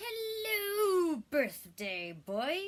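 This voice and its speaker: A loud, put-on character voice sits at an extremely high pitch. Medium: read story. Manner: loud, exuberant.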